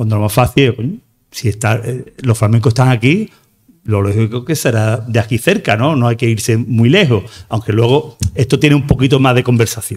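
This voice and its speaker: Somewhat breathy, a man speaks at a moderate pace with a medium pitch, ordinary pitch variation and very even loudness over a quiet background. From Andalusia, Algeciras area. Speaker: flamenco researcher and math teacher. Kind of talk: lecture. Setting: stage with audience. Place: hall. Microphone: podium.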